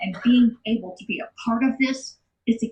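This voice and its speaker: The speaker is a woman. She sounds somewhat breathy. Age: 60s. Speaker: retreat center staff member sharing healing story. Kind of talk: testimony. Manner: animated.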